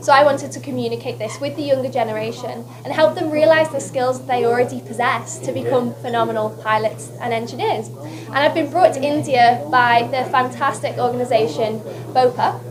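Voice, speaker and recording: A woman talks at a fairly quick pace with a Lancashire accent. Audible room echo and noticeable background noise fill the recording. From northern England, West Lancashire. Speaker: beauty queen. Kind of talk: press conference interview. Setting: press conference. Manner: animated.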